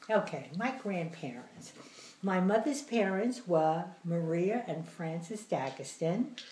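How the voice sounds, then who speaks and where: A woman's very slow, medium-pitched voice with an American accent, very wide pitch swings, and audible room echo. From New Jersey and the Bronx, New York. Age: 80s+. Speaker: grandmother interviewee. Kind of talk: interview.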